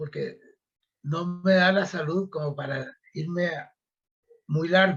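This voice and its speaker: Fairly even intonation runs through the speech. The pace is very slow. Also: man. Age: 70s. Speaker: retired agronomist. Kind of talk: interview. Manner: halting.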